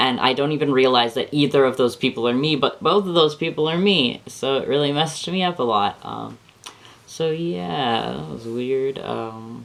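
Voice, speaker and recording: Noticeable background noise sits behind a man speaking at a moderate pace. His medium-pitched voice has lively intonation. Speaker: vlogger sharing transition update. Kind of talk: casual vlog monologue. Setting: camera on a bookshelf in bedroom. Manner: rambling, many fillers.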